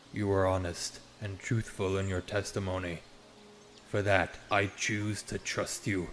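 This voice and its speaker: Putting on a character voice, a man speaks in a solemn tone at a fairly low pitch, with monotone, flat intonation and a fairly slow pace, over clear background noise. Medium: audio drama. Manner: solemn, grand, archaic phrasing.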